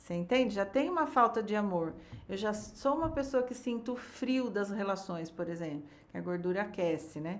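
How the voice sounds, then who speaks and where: A woman speaks in a normal speaking voice at a medium pitch. Her pace is moderate and her intonation lively. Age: 60s. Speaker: biodecoding therapist. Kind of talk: podcast interview.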